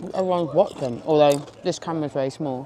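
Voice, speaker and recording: A woman with a very deep, low pitch talks at a fairly quick pace with ordinary pitch variation over noticeable background noise. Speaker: business owner and vlogger. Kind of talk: business pitch explanation; casual vlog chat. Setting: pub.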